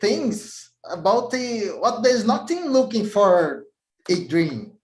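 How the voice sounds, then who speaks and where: With a Portuguese accent, a man speaks at a very slow pace, his intonation lively. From Brazil. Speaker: IT technical lead. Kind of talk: interview. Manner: halting.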